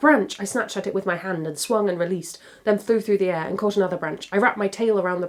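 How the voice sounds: The speaker reads in a natural reading voice.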